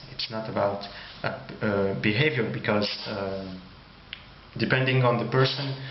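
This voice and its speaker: Amid noticeable background noise and audible room echo, a man with a French accent speaks at a fairly slow pace and fairly low pitch, with ordinary pitch variation. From France. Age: 20s. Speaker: YouTuber. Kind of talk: personal monologue. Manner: halting.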